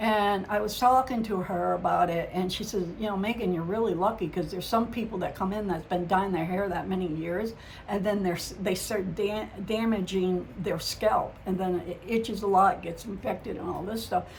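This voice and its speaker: A woman speaks at a moderate pace with fairly even intonation and a medium pitch, with audible room echo and noticeable background noise. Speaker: psychic medium vlogger. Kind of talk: casual vlog monologue. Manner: halting, stumbles over words.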